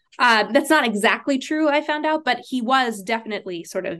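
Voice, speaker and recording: A woman with a plain, everyday voice and lively intonation speaks at a moderate pace against a quiet background. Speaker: Judaic studies professor. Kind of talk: podcast interview.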